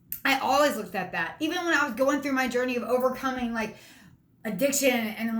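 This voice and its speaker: At a fairly quick pace, a woman talks in an animated tone with ordinary pitch variation and audible room echo. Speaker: motivational speaker. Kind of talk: motivational talk. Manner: fast.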